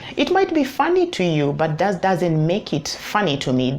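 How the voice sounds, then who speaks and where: The intonation rises and falls in a lively way, with noticeable noise in the background. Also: woman. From Kenya. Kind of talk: advice vlog. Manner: halting, with repeated words.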